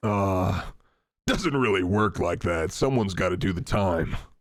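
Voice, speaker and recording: A man's put-on character voice, raspy and very deep in pitch, at a moderate pace. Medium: actual play. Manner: casual, street-wise, cautionary.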